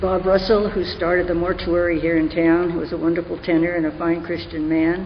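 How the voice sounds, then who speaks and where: Noticeable background noise accompanies speech at a fairly quick pace with hardly any pauses. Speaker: church organist. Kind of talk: testimony.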